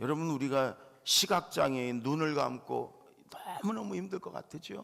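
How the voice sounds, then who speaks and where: A fairly high-pitched man's voice with very wide pitch swings at a fairly slow pace. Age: 60s. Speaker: pastor. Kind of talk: sermon. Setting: church.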